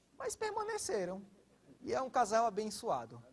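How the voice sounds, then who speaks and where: A man speaks at a fairly slow pace with a northeastern Brazilian accent. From Brazilian Northeast. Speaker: pastor. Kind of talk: sermon.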